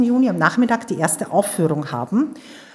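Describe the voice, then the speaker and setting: A woman's enthusiastic tone with very wide pitch swings. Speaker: theater teacher.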